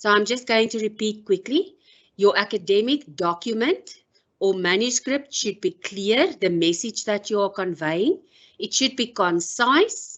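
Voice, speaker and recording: A woman with a South African accent talks at a fairly slow pace, her fairly high voice carrying lively intonation. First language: Afrikaans. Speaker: professor. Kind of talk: lecture. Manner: formal.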